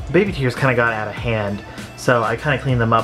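Clear music plays behind a man talking at a very fast pace. His intonation stays fairly even. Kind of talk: casual vlog chat. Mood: slightly rueful. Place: home room. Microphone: phone near.

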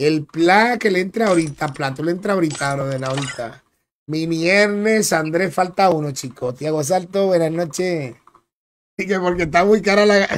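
A man with a Dominican accent talks in a high voice with ordinary pitch variation. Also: moderate pace. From Dominican Republic. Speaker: gaming streamer. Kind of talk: live gameplay commentary. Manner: animated.

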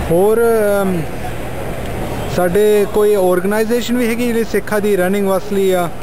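There is noticeable background noise behind a man's voice. His high pitch stays monotone and flat. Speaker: interviewer. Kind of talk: interview questions. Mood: respectful, admiring.

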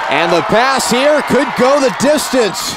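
A man speaks in an animated, playful tone. The sound is dry with no echo, though there is noticeable background noise. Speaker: play-by-play sports commentator. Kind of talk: live high school football play-by-play, rapid-fire calling of a fourth-and-inches punt. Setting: broadcast booth at a stadium. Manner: excitable, exclaiming and self-correcting mid-play; animated and playful, teasing players and laughing.

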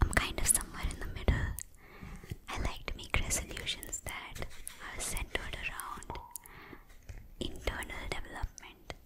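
A woman whispers breathily at a fairly slow pace. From India. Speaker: skincare and beauty YouTuber. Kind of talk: ASMR skincare tips, whispered talk to camera. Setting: close mic, studio. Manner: soft-spoken, breathy whisper. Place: home room. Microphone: studio mic.

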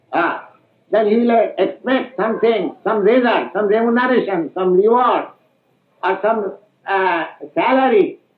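In a room with audible echo, a man speaks at a very slow pace in an extremely high pitch. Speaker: spiritual teacher. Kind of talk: lecture. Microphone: old recording.

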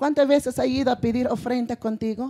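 A woman at a moderate pace, fairly even intonation, against a quiet background. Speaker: preacher. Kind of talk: sermon. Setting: church with congregation. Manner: repeats phrases, rhetorical questions to congregation. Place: stage. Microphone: handheld.

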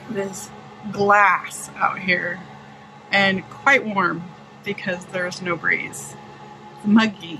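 Noticeable background noise runs under a woman's voice. She talks at a very slow pace with ordinary pitch variation. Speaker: sailing vlogger. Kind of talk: casual vlog chat. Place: boat. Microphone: phone near.

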